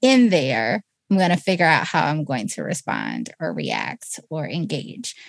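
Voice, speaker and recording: A woman with a fairly low pitch and vocal fry speaks at a fairly slow pace with very wide pitch swings, in a dry, close sound with no echo. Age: 30s. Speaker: podcast co-host. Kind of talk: casual chat.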